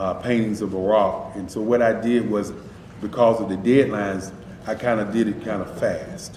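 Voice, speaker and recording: A fairly low-pitched man with fairly even intonation and a moderate pace, amid audible room echo and noticeable background noise. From North Carolina, Durham. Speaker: artist. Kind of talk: interview.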